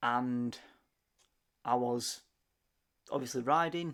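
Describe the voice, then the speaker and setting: A man with a Sheffield accent, medium in pitch, with fairly even intonation, on a very clean recording with a silent background. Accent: Yorkshire (Sheffield). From Sheffield, northern England. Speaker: motorcycle vlogger. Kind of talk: voice-over narration of ride video. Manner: halting, many fillers and repeats.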